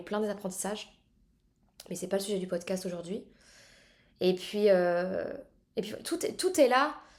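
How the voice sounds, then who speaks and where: A woman speaks fairly quickly with ordinary pitch variation. The recording is very clean, with a silent background. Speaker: podcast host. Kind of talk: solo podcast monologue.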